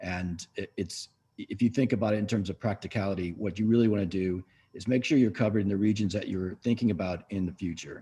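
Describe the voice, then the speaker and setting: Very fast and somewhat breathy, the speech has a dark, mellow tone, fairly even intonation and an American accent. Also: man. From US West Coast, San Francisco. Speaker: business owner. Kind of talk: webinar panel talk.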